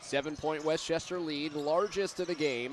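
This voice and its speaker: A man is speaking. Music plays in the background. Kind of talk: live basketball play-by-play commentary. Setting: broadcast booth at a game.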